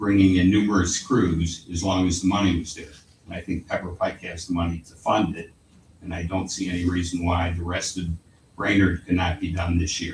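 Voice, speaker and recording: Very deep and low, a man speaks fairly quickly in a flat monotone, somewhat breathy, with big swings in loudness. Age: 80s+. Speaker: contractor speaking at public comment. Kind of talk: public comment at council meeting. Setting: city council chamber.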